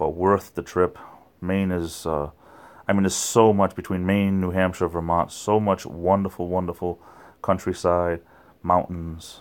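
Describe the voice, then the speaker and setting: Speech at a moderate pace with fairly even intonation, captured in a very clean recording with a silent background. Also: man. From Rhode Island, southern New England. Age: 40s. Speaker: YouTuber. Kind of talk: livestream chat with viewers. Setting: late night livestream at home. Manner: slurred words.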